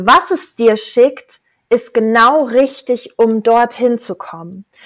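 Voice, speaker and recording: Animated in tone, the speech shows ordinary pitch variation. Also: woman. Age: 40s. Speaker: life coach, former architect. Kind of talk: casual chat.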